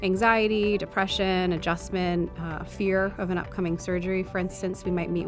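Over clear music in the background, a woman speaks at a fairly quick pace in a fairly low pitch with monotone, flat intonation. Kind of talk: interview answer. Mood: warm, earnest. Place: studio. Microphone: lapel.

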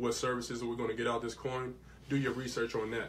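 With light background noise behind him, a man speaks at a medium pitch. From Lexington, Kentucky; Kentucky. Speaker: crypto investor; radio show guest or host. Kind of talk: casual chat. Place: studio. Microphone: studio mic.

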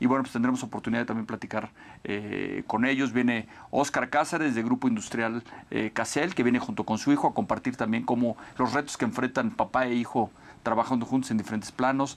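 A man of medium pitch has an unremarkable speaking voice with ordinary pitch variation. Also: fairly quick pace. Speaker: business event organizer. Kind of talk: interview. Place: studio. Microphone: lapel.

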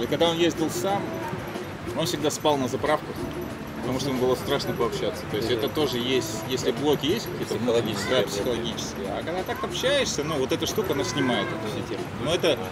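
Very fast speech over loud background noise. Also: man. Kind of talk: casual group storytelling. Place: cafe. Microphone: lapel.

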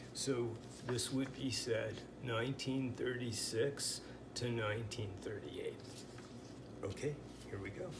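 There is noticeable background noise behind a man with an American accent. He talks at a very slow pace with long, frequent pauses. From US Pacific Northwest. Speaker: language teacher. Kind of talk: tutorial. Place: home room. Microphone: phone near.

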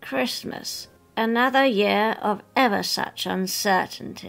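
Over faint music in the background, a woman does a put-on character voice in a Suffolk accent, medium in pitch, fairly slow, with lively intonation.

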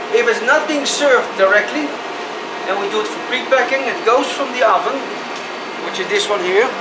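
A man talks at a fairly quick pace with ordinary pitch variation. Music plays in the background. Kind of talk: guided tour explanation. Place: kitchen. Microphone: lapel.

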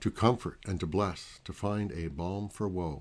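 In a very clean recording with a silent background, a man speaks in a very deep, low voice. His pace is fairly slow. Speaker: pastor. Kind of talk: prayer; devotional talk with scripture reading.

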